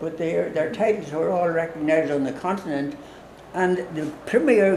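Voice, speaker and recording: Noticeable background noise and audible room echo around a man's speaking voice. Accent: Irish. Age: 80s+. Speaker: priest. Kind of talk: casual chat. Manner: halting.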